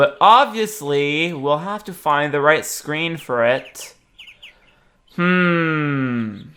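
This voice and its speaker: A woman's very deep, low voice, bright and sharp in tone, with lively intonation, very slow pace and big swings in loudness. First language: not English. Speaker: let's play gamer. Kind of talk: gameplay commentary. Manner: casual, thinking aloud.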